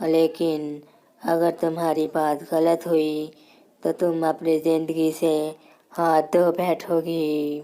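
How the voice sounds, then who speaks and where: A woman does a cartoonish character voice, very deep and low in pitch. She talks at a very slow pace in a monotone, flat delivery. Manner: commanding, threatening.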